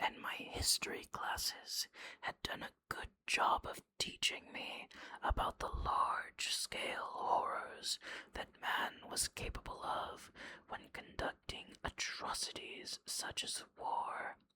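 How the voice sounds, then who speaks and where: Someone whispers. The pace is very slow. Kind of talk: personal reflective monologue about a book. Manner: whispered.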